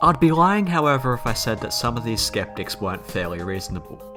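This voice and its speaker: Music plays behind a man with an Australian accent. He talks at a fairly quick pace with very wide pitch swings. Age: young. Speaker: YouTuber. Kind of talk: casual storytelling narration. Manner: humorous, sarcastic.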